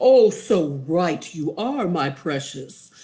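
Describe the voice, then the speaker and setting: Someone uses a put-on character voice at a middle pitch, speaking at a very slow pace. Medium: read story.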